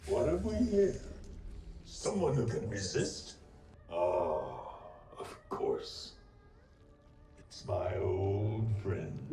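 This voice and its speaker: Using a put-on character voice, a man speaks at a very slow pace amid clear background noise and slight echo. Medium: voice reel. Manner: menacing, mocking.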